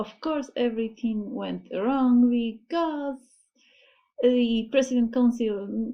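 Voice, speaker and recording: Speaking with a non-native accent, the voice moves at a very slow pace with ordinary pitch variation. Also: woman. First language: not English. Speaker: anime reaction youtuber. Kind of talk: reaction video commentary. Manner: halting, self-correcting.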